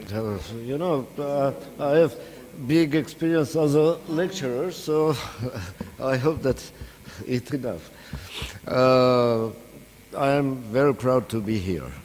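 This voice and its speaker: A man with an Armenian accent at a very slow pace, with long, frequent pauses, a medium pitch and ordinary pitch variation, over noticeable background noise. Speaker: professor. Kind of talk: lecture. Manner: hesitant, many filler sounds.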